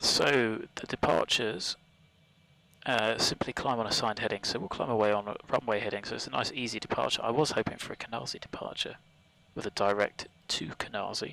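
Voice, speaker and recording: With noticeable background noise behind him, a man with a British accent talks at a fairly quick pace, broken by long, frequent pauses. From UK. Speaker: flight sim streamer. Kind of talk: live stream commentary. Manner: casual, relaxed.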